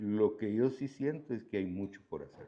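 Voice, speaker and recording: A man speaks in a fairly low voice with ordinary pitch variation. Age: 70s. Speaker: agricultural engineer in coffee industry. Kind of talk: interview.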